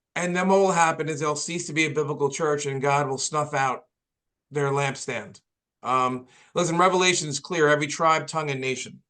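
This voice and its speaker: A man talks with a New York accent at a fairly high pitch. His tone is bright and sharp, his intonation fairly even, and his pace fairly quick. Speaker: pastor. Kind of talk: podcast interview.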